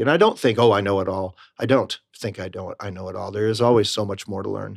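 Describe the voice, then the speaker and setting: Man with an American accent, fairly low in pitch with vocal fry, at a very fast pace with hardly any pauses, in a very clean recording with a silent background. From Rochester, New York, US. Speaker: Broadway actor. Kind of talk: interview. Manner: upbeat.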